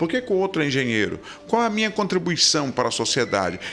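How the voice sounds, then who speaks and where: Fairly quick speech with very wide pitch swings over music in the background. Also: man. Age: 60s. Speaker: pastor. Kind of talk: interview. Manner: halting repetitions.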